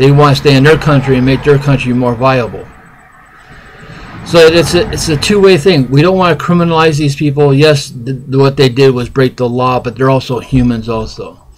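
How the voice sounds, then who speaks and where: A man talks at a moderate pace with a fairly high pitch. His pitch varies in an ordinary way, and there is noticeable background noise. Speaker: independent presidential candidate vlogger. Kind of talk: political opinion monologue. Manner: halting, unpolished.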